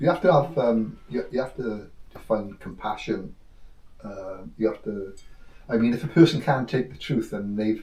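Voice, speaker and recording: A man speaks at a moderate pace in a dark, mellow, somewhat breathy tone, with big swings in loudness. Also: medium pitch for a man, lively intonation. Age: 60s. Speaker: spiritual teacher. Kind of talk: casual chat. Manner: halting.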